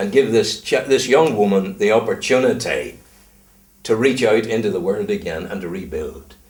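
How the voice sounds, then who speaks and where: Man with a Northern Irish accent at a moderate pace. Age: 70s. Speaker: retired broadcaster. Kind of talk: casual interview chat. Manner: animated.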